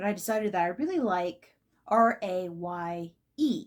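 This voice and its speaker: The recording is very clean, with a silent background. A woman is speaking. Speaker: vlogger. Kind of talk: casual vlog monologue. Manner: fast; halting, many fillers.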